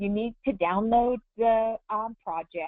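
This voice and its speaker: A woman talks at a fairly slow pace. Her pitch sits fairly high, in an unremarkable speaking voice. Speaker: embroidery software instructor. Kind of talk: tutorial. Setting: webinar.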